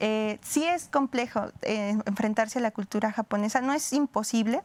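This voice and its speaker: Recorded dry and close with no echo but with noticeable background noise, a woman speaks at a moderate pace with a fairly high pitch and ordinary pitch variation. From Mexico. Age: 30s. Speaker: historian. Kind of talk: interview. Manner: hesitant, many fillers.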